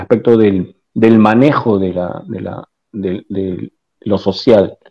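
A man talks at a very slow pace. His pitch is fairly low and his intonation fairly even. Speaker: party representative. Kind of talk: panel debate. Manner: hesitant, many fillers.

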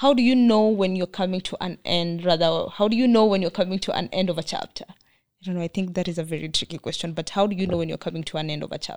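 In a Kenyan accent, a woman talks at a very fast pace with hardly any pauses and a medium pitch. The sound is dry and close, with no echo. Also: ordinary pitch variation. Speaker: podcast host. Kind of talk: interview. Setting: studio.

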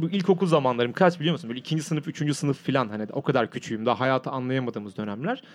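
Lively intonation from a man at a fairly high pitch. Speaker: podcast host visiting as guest. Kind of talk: casual chat. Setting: studio. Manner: loud; talkative.

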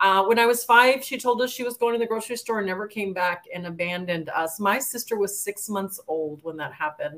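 A woman with an ordinary speaking voice talks at a fairly quick pace with hardly any pauses. She has an American accent, a medium pitch and ordinary pitch variation. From El Paso, Texas. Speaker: author and entrepreneur. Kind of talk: interview.

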